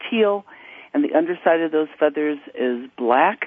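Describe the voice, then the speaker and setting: With an American accent, a woman talks in a normal speaking voice with lively intonation. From United States. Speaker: parrot rescue nonprofit CEO. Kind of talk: radio interview.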